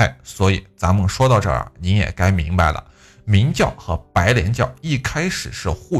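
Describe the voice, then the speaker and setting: Vocal fry marks this man's fairly low-pitched voice, which moves at a fairly slow pace. His pitch swings very widely, and the recording is very clean with a silent background. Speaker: history podcaster. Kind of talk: history storytelling monologue. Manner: quiet; conversational, chatty.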